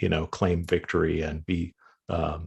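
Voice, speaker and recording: In a very deep, low pitch, a man talks at a fairly slow pace, sounding somewhat breathy. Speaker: journalist. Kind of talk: panel discussion. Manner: monotone; hesitant, many fillers.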